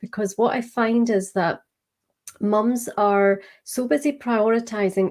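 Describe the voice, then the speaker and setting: A woman with a Scottish accent talks at a fairly slow pace in a medium pitch. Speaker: business coach. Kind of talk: interview.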